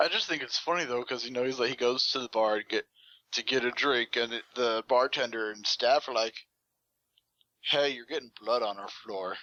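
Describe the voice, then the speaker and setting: A man with a Texan accent speaks at a moderate pace, his medium pitch following fairly even intonation. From Texas. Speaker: podcast co-host. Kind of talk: casual chat.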